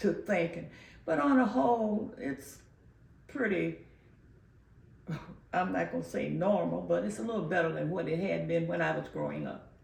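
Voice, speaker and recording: In a room with audible echo, a woman talks at a moderate pace, leaving long, frequent pauses. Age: 90s. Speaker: community elder interviewee. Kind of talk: oral history interview. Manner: halting, many filler pauses.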